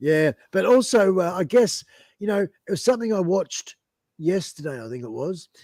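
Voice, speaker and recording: A man with an Australian accent and lively intonation, in a dry, close sound with no echo. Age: 60s. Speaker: musician and biker, live stream guest. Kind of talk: casual live-stream interview. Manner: halting, many fillers and restarts.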